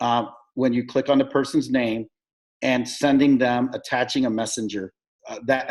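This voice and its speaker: A man with an American accent talks at a fairly quick pace in an ordinary speaking voice. His pitch is medium, and his intonation is fairly even. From United States. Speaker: network marketing sponsor. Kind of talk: video call team meeting.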